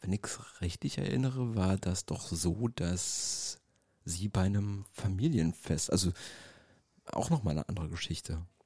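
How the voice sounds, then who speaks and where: In a very clean recording with a silent background and a dry, close sound with no echo, a man speaks at a fairly slow pace with a very deep, low pitch, ordinary pitch variation and a dark, mellow, somewhat breathy tone. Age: 40s. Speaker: DJ and podcast co-host. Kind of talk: casual chat. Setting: gallery space used as studio.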